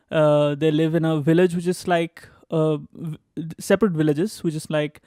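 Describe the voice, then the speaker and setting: A man talks at a moderate pace in a fairly high-pitched monotone. The sound is dry and close, with no echo. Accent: Bengali. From India, West Bengal (Durgapur). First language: Bengali. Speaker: graduate student. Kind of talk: interview, casual storytelling. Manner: halting, many fillers.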